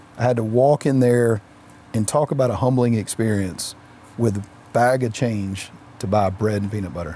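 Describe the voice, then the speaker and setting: A soft-spoken man talks in a medium pitch with a dark, mellow tone. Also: ordinary pitch variation, moderate pace. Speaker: entrepreneur, CEO. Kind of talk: interview answer.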